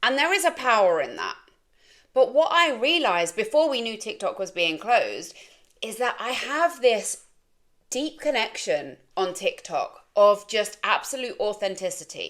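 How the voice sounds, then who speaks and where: A woman's high-pitched voice with an English accent, very wide pitch swings and a moderate pace. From England. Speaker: life coach and content creator. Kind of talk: casual vlog monologue.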